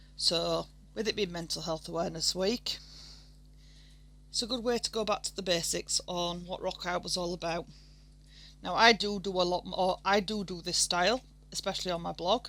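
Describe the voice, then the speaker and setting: Speaking at a moderate pace with a Yorkshire accent, a woman leaves long, frequent pauses. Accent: broad Yorkshire. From Yorkshire, northern England. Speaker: art tutorial creator. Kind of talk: tutorial. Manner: casual, somewhat halting.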